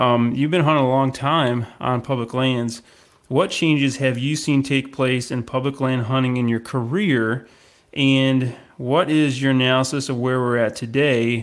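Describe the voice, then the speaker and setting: In an American accent, a man with an ordinary speaking voice talks fairly slowly at medium pitch, with fairly even intonation and very even loudness. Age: 40s. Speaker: podcast host and deer hunter. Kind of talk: interview.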